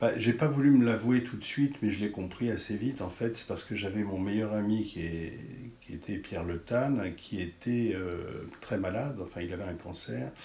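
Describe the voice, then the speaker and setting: Audible room echo surrounds a man who talks at a moderate pace in a fairly low pitch with ordinary pitch variation. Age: 60s. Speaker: art critic and writer. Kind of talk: interview. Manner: halting.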